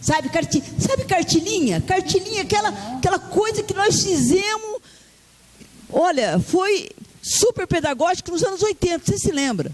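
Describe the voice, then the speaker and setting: Animated, moderately paced speech broken by long, frequent pauses, over noticeable background noise. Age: 60s. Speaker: union leader. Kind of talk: speech at union assembly. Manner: halting, many repetitions.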